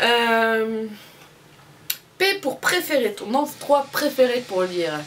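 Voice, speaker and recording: Music plays in the background as a woman with a high pitch and lively intonation speaks, with audible room echo. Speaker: booktuber. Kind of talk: casual book tag video.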